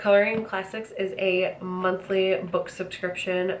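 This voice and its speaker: A woman talks with fairly even intonation while audible room echo carries her words. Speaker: book subscription box reviewer. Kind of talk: unboxing review. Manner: casual, hesitant fillers.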